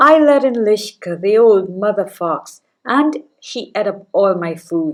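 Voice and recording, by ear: With lively intonation, the speaker is reading aloud in a natural voice over a quiet background.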